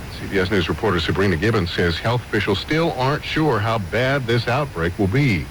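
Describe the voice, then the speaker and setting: A man with a fairly low pitch speaks at a fairly quick pace with lively intonation and hardly any pauses. Noticeable background noise sits behind him. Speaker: radio news anchor. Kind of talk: radio newscast. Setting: radio broadcast.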